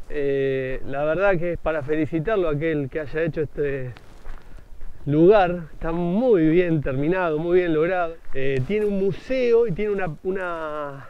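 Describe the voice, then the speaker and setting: The sound is dry with no echo as a man talks at a fairly slow pace with ordinary pitch variation. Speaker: motovlogger. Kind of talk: casual vlog commentary. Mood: enthusiastic, admiring. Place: street. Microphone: phone near.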